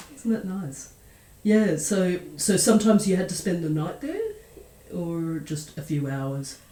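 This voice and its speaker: Her tone is dark and mellow, somewhat breathy. This woman talks at a fairly slow pace with ordinary pitch variation. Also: fairly low pitch for a woman. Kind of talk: interviewer questions.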